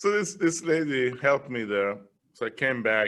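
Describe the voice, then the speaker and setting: Speaking at a moderate pace in a Persian accent, the voice shows ordinary pitch variation. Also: man. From Iran. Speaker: business leader, guest speaker. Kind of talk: interview. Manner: animated.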